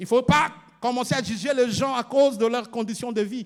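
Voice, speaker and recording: A man with a Congolese accent, high-pitched for a man, at a moderate pace with ordinary pitch variation. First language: Lingala (speaking French). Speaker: pastor. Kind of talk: sermon. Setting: church. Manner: halting, repeats words.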